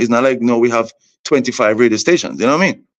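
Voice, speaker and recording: A man with a Vincentian accent, medium pitch and ordinary pitch variation. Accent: Vincentian Caribbean English. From St Vincent and the Grenadines. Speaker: soca artist. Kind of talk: interview.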